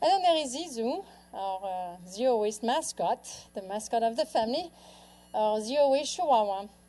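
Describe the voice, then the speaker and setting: This woman has a French accent and a dark, mellow tone. Her pitch swings very widely as she moves at a moderate pace. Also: fairly high pitch for a woman. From France. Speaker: author and lifestyle speaker. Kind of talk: public talk. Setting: stage with audience.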